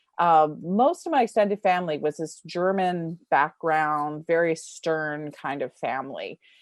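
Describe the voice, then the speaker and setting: A woman has a normal speaking voice, fairly low in pitch with ordinary pitch variation. The sound is dry and close with no echo, over a quiet background. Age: 60s. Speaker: writer and teacher. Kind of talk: interview.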